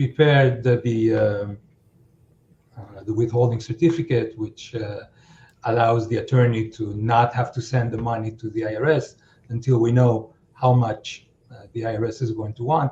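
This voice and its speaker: A man with a non-native accent, a dark, mellow tone, fairly even intonation and a somewhat breathy quality. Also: medium pitch for a man, moderate pace, big swings in loudness. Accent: foreign. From outside the US. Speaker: accountant. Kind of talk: podcast interview. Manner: halting, many fillers.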